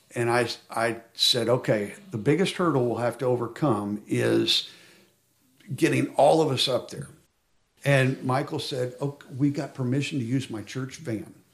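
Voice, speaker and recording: A somewhat breathy man with an American accent and ordinary pitch variation. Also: medium pitch for a man, moderate pace. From Oklahoma, Stillwater. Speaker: hunting camp volunteer with a birth defect. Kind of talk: interview testimony. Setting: outdoors at a hunting camp.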